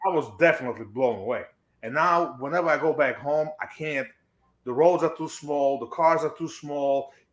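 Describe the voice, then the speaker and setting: Speaking at a moderate pace with a non-native accent, a man uses a fairly high pitch and ordinary pitch variation, captured in a very clean recording with a silent background. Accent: foreign accent, others make fun of it. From abroad, non-English-speaking country. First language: not English. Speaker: stream guest. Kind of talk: casual chat.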